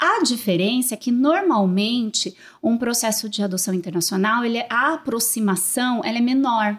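An unremarkable speaking voice moves at a moderate pace with lively intonation and hardly any pauses. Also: woman, fairly high pitch for a woman. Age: 30s. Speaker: social worker, manager of a children's shelter. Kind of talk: interview.

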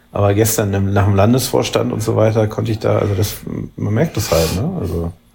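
A man's fairly low pitch and ordinary pitch variation at a fairly quick pace, with noticeable background noise. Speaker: politician and podcast co-host. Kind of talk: casual chat. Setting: remote call between cities. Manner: halting, many fillers.

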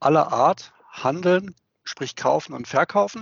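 A man speaking at a very slow pace. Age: 50s. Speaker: sales director at a plastics trading platform. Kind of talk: interview. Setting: video call.

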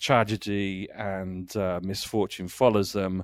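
With a southern English accent, a man speaks at a very slow pace in a fairly low pitch with flat, monotone intonation, the sound dry and close with no echo. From Kent, England. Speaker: audio drama writer. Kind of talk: casual chat. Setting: remote call.

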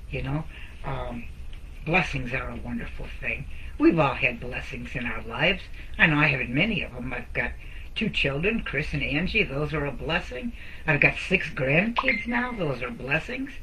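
A woman speaks at a moderate pace with an American accent. Audible room echo and noticeable background noise are present. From Detroit area, Michigan. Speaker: network marketer and t-shirt designer. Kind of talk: casual live-stream chat. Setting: solo live video.

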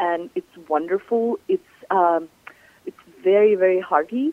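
Speaking at a very slow pace, a woman with a Ukrainian accent has a fairly low pitch. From southern Ukraine. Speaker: chef and cookbook author. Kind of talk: radio interview.

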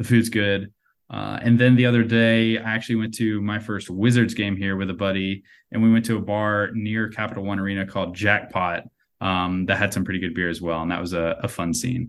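Fairly quick and fairly low-pitched, a man with an American accent talks in an unremarkable speaking voice on a very clean recording with a silent background. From US South, North Carolina. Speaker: baseball writer and prospect analyst. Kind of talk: casual interview chat.

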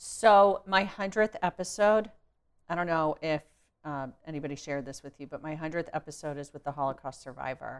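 The voice has an animated tone with big swings in loudness. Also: woman, very deep, low pitch for a woman, ordinary pitch variation, fairly quick pace. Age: 40s. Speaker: podcast host. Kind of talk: interview.

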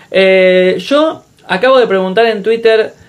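A man speaks with ordinary pitch variation. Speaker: podcast host. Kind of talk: casual chat.

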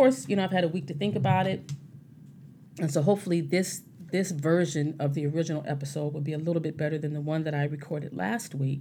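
Very fast, somewhat breathy delivery in a dark, mellow tone with ordinary pitch variation. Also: woman, very deep, low pitch for a woman. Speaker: podcast host, sobriety advocate. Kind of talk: casual solo monologue. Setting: home recording at mic. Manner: halting, repeats words.

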